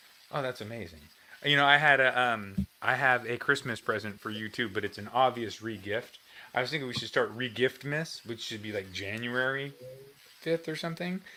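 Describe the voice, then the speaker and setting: Here is a man with a normal speaking voice at medium pitch. He keeps a moderate pace with ordinary pitch variation and big swings in loudness. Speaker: guitar livestream host. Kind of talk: casual livestream chat.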